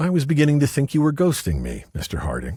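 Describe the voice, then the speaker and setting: Using a put-on character voice, a man speaks at a very fast pace with a husky, fairly high pitch. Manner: teasing.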